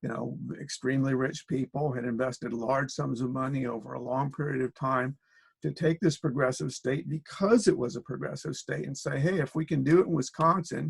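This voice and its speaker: The speaker has an American accent and vocal fry, with ordinary pitch variation. The sound is dry and close, with no echo. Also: man, medium pitch for a man. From US Midwest, Springfield, Illinois. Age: 60s. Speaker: political organizer and researcher. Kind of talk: interview. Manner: halting, many fillers.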